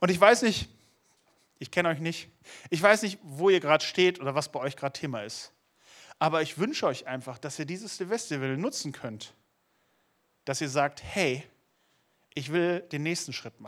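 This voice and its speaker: A man speaks at a moderate pace in a fairly high voice with an animated tone, leaving long, frequent pauses, on a very clean recording with a silent background. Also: lively intonation, big swings in loudness. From Lower Saxony, Germany. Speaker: youth preacher. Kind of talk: sermon.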